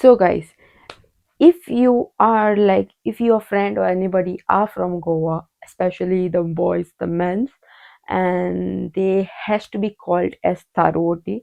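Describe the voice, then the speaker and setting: With a Goan accent, a woman talks at a very slow pace. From Goa, India. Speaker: vlogger. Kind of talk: casual talk to camera.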